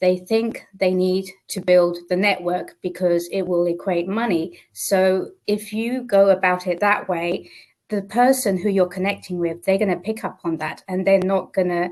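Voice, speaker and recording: In a British accent, a woman speaks fairly slowly with fairly even intonation over a quiet background. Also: medium pitch for a woman, hardly any pauses. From Portugal. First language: Portuguese. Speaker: business mentor. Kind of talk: interview.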